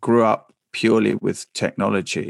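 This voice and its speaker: A man with a southern English accent speaks at a medium pitch, and the sound is dry and close with no echo. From England, Essex. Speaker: broadcaster and author. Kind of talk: interview.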